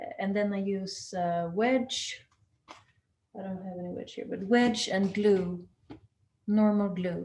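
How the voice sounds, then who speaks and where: Somewhat breathy and dark, mellow in tone, the voice moves at a very slow pace with long, frequent pauses, ordinary pitch variation and big swings in loudness. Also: woman, medium pitch for a woman. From southern Sweden. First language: Swedish. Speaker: axe maker. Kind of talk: webinar talk. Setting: video call. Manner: halting.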